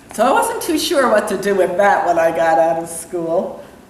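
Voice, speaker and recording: Noticeable background noise and audible room echo surround a woman speaking in an American accent. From New York area, US. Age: 60s. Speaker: entrepreneur and real estate broker. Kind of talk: interview. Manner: hesitant, with many fillers.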